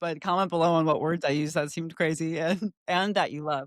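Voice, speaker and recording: A woman with an American accent, fairly low pitch, fairly even intonation and a very fast pace. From Chicago suburbs, US Midwest. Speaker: podcast co-host. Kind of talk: casual chat. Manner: halting, stops mid-sentence.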